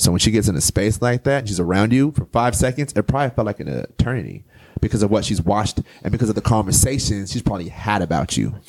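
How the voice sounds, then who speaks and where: In a dry, close sound with no echo, a man with a fairly low pitch and vocal fry talks at a very fast pace with lively intonation and an animated, passionate tone. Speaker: poet and author. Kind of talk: casual interview chat. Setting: studio. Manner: animated, passionate delivery.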